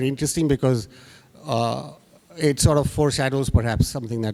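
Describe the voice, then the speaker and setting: Noticeable background noise surrounds a man speaking with a Bengali accent. His pitch is fairly high, with ordinary variation. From India, Bengali family, moved around (Rajasthan). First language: Bangla. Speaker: graphic artist. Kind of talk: panel discussion. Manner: halting, many fillers.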